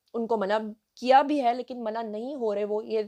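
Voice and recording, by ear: The woman's voice sits at a medium pitch with ordinary pitch variation. Her tone is slightly mellow.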